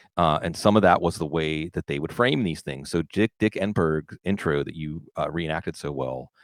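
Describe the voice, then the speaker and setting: In an American accent, a man with a very deep, low pitch, ordinary pitch variation and vocal fry speaks at a moderate pace on a very clean recording with a silent background and a dry, close sound with no echo. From Pittsburgh, US. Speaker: football analyst and podcaster. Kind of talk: casual podcast conversation. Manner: animated.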